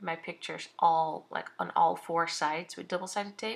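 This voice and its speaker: A woman is speaking. She has a Dutch accent. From Netherlands. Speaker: craft vlogger. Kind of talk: tutorial. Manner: halting.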